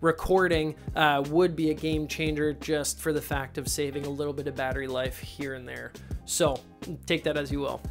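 A man's monotone, flat delivery at a moderate pace, with clear music in the background. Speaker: filmmaker reviewer. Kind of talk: product review. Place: home room. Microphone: lapel.

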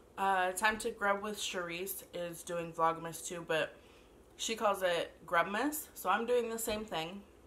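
Her tone bright and sharp, a woman speaks at a fairly slow pace with ordinary pitch variation. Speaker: food vlogger. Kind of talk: casual vlog chat. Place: home room. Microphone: camera far.

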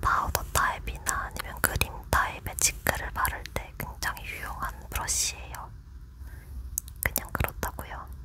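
A woman whispers in a gentle tone. Her pace is fairly slow. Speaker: ASMR creator. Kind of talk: ASMR soft talking. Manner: soft-spoken, gentle. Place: home room.

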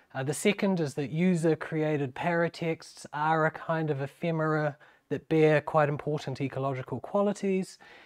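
A man with a New Zealand accent, fairly high pitch, fairly even intonation and a moderate pace, over a quiet background. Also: hardly any pauses. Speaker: university lecturer. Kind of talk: academic lecture. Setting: seminar room with audience. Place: meeting room.

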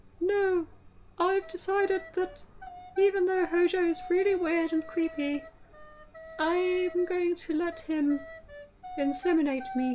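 A cartoonish character voice, female-sounding and extremely high-pitched, at a fairly slow pace with long, frequent pauses and music in the background. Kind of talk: comedic puppet show, deliberately bad acting.

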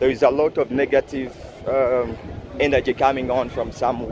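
Noticeable background noise sits behind a dry recording with no echo. The man's delivery moves at a moderate pace. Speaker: city walk vlogger. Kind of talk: casual vlog chat. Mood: enthusiastic, proud. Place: street. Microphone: phone near.

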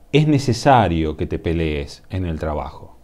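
A man with a Rioplatense accent, fairly slow, with very wide pitch swings. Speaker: tarot reader. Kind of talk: tarot reading monologue. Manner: halting, many fillers.

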